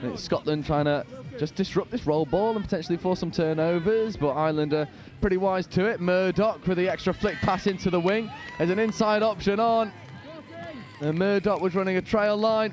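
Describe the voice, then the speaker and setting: The speaker has a northern English accent and ordinary pitch variation. Crowd noise can be heard in the background. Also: man, high pitch for a man. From northern England. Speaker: sports commentator. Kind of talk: live commentary. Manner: animated.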